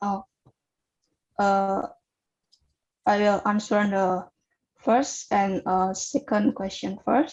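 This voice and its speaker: Speaking at a very slow pace with an Indonesian accent, this voice has ordinary pitch variation and long, frequent pauses. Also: woman, medium pitch for a woman. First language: Javanese. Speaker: student researcher presenting paper. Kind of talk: Q&A session at academic webinar. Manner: halting, many fillers.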